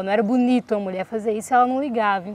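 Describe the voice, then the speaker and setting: A woman's fairly high voice with fairly even intonation, dry and close with no echo, over noticeable background noise. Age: young. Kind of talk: interview answer.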